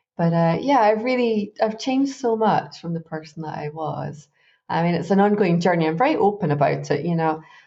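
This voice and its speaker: Lively intonation marks this woman's Glaswegian accent. She speaks at a fairly low pitch and a fairly quick pace. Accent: Glaswegian Scottish. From Scotland, Glasgow. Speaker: life coach. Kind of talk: interview. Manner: chatty, relaxed.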